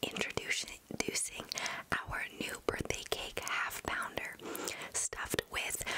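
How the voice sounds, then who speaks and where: A woman talks at a moderate pace. Loud background noise runs throughout. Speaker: ASMR creator. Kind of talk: soft casual ASMR tasting chat. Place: home room. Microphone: studio mic.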